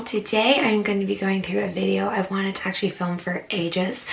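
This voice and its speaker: A quiet woman with an Irish accent at medium pitch, ordinary pitch variation and a moderate pace, with noticeable background noise. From Ireland. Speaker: travel vlogger. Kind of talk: casual talk to camera.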